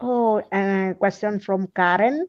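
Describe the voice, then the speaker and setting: A woman at a very slow pace with ordinary pitch variation, against a quiet background. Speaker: livestream host. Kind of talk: casual chat. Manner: halting.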